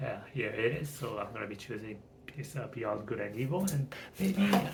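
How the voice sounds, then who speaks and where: Mumbled speech at a moderate pace with a non-native accent, noticeable background noise and audible room echo. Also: man. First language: not English. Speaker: channel owner practicing speech. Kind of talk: casual monologue. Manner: mumbling; halting.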